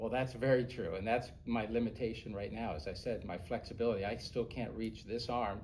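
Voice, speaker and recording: A man speaks at a fairly quick pace and medium pitch, with hardly any pauses and fairly even intonation. Audible room echo surrounds his voice. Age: 60s. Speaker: airline pilot. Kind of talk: interview.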